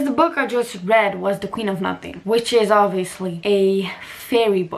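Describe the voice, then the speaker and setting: A woman with a non-native accent and an animated tone, medium in pitch, at a moderate pace with ordinary pitch variation, over noticeable background noise. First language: not English. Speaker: lifestyle and book vlogger. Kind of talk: casual vlog talk.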